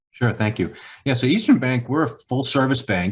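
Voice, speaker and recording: On a very clean recording with a silent background, a man with a Boston accent sounds somewhat breathy, with ordinary pitch variation. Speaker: bank executive. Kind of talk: podcast interview.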